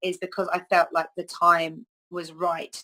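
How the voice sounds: The tone is bright and sharp, and the pace is slow. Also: woman.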